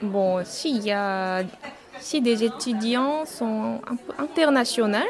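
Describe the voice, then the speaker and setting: A woman with a Korean accent speaks at a very slow pace, her fairly high pitch showing ordinary variation. Noticeable background noise runs underneath. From South Korea. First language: Korean (speaking French). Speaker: Korean language teacher. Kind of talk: interview. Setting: on-site at a festival. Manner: halting.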